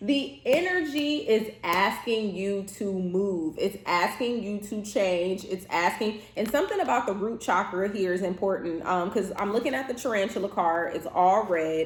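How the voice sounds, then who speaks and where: Over noticeable background noise, a woman talks in a medium pitch that varies in an ordinary way. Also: moderate pace, hardly any pauses. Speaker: tarot reader and therapist. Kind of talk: tarot reading monologue.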